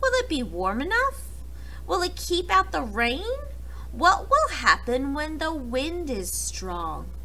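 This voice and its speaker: A put-on character voice at a fairly slow pace, with clear background noise. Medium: read story. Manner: thoughtful, careful.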